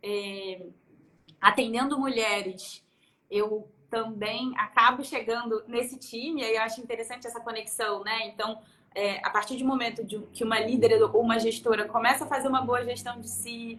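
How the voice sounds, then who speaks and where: Her fairly high voice is bright and sharp, as this woman speaks at a moderate pace with fairly even intonation and big swings in loudness. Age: 30s. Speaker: productivity consultant. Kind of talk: casual chat.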